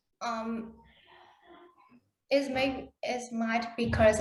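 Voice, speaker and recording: A somewhat breathy voice speaks at a very slow pace in a monotone, flat intonation. The room echo is audible. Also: woman. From Vietnam. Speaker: conference presenter. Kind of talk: Q&A answers; conference presentation. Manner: halting.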